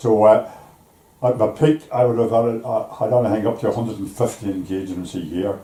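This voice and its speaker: This man has a Belfast accent and a fairly low pitch. His intonation stays fairly even. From Northern Ireland, East Belfast. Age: 80s+. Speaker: retired shipyard worker. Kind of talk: life story interview. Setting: at home over tea. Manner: halting.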